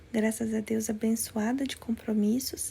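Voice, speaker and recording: A soft-spoken woman's fairly high, somewhat breathy voice with a dark, mellow tone. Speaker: life coach and former nursing teacher. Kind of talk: live-stream talk to viewers. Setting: live stream from another place. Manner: soft-spoken, speaking quietly.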